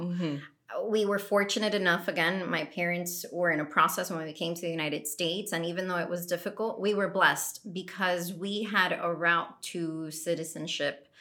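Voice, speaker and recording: Amid noticeable background noise, a woman talks at a fairly quick pace, her medium pitch varying in an ordinary way. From Colombia. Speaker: podcast guest. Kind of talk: casual chat.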